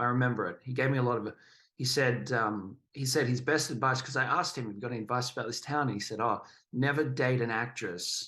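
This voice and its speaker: Speaking very fast with an Australian accent, a man uses a medium pitch, a bright, sharp tone and ordinary pitch variation. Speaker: actor, director, auctioneer. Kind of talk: interview answer. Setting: podcast.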